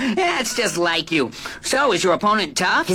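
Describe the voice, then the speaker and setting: A cartoonish character voice at a fairly high pitch, delivered at a moderate pace. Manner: warm, curious.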